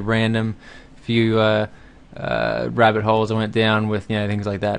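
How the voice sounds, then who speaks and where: In an Australian accent, a man speaks at medium pitch. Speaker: game developer. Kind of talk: tutorial. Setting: home recording at night. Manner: fast; hesitant, many fillers.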